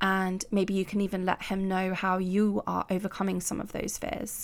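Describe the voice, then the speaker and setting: Speaking in a British accent, a woman has a medium-pitched voice. She talks at a moderate pace on a very clean recording with a silent background. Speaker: podcast host and life coach. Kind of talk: solo podcast monologue.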